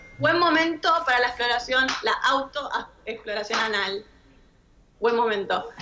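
Against noticeable background noise, a woman speaks fairly slowly at a high pitch with very even loudness. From Argentina. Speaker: sexologist; guest. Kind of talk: expert Q&A on radio. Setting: studio. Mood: relaxed, friendly, explanatory. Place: home room. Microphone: too quiet; video call.

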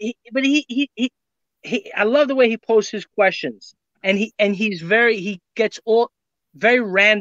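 A man's high, bright and sharp voice with a New York accent and lively intonation, dry with no echo over a quiet background. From New York, Brooklyn. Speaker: reseller. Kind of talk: casual chat. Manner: halting. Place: home room. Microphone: webcam.

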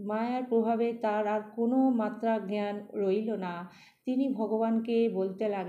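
The delivery is plain reading aloud, and the intonation stays fairly even.

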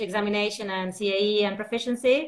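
With a Spanish accent, a woman speaks at a fairly high pitch with ordinary pitch variation. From Argentina. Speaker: English teacher and researcher; English teacher. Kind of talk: casual interview chat. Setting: live video call. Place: home room.

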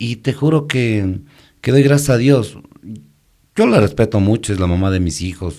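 Speech comes at a fairly slow pace with long, frequent pauses and lively intonation. The tone is dark and mellow over a quiet background. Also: man. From Ecuador, Quito; Ecuador. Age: 50s. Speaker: musician and band leader; podcast guest. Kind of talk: interview, life story. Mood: reflective, grateful. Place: studio. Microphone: studio mic.

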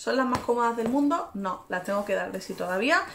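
A woman's animated tone over light background noise. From Spain. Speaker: fashion youtuber. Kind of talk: try-on haul vlog.

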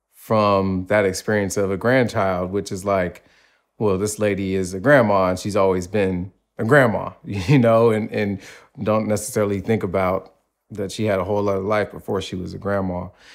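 Fairly low male voice at a moderate pace, fairly even in intonation, with a quiet background. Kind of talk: interview answer. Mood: thoughtful, earnest. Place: home room. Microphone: lapel.

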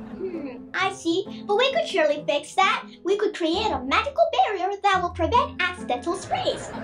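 An extremely high, cartoonish character voice speaks at a moderate pace. Background noise is clearly heard. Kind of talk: children's puppet show dialogue. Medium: puppet.

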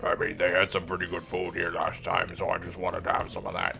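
Using a put-on character voice, a man talks at a very fast pace over clear background noise. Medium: fan dub.

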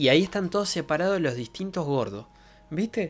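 Here a man talks with a Rioplatense accent. His pitch swings very widely at a moderate pace. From Argentina. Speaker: streamer. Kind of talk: casual chat. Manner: animated. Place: home room. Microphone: studio mic.

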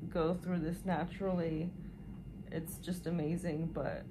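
A woman's fairly low-pitched voice with vocal fry, fairly slow pace and fairly even intonation, amid noticeable background noise. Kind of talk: casual vlog chat.

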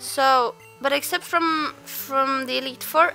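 Over music in the background, a woman projects a raised voice at a high pitch. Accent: non-native. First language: not English. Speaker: let's play gamer. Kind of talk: casual gameplay commentary. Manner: some stuttering.

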